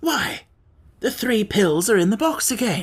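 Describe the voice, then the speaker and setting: A woman performs a raspy put-on character voice at a fairly high pitch. Her pitch swings very widely at a moderate pace. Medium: read story.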